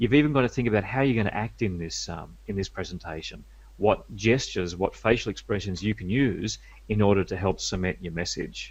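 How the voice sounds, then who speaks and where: Over a quiet background, a man with a fairly low pitch and vocal fry speaks at a fairly quick pace with ordinary pitch variation. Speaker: media skills coach. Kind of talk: interview.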